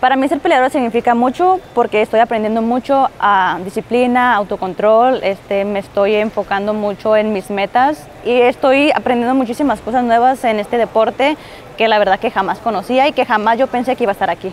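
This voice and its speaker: A woman's fairly quick speech with hardly any pauses and ordinary pitch variation, in a dry sound with no echo over light background noise. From Mexico, Tijuana; Mexico. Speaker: MMA fighter. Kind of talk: interview answers. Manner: casual, with fillers and repetitions. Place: studio. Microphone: lapel.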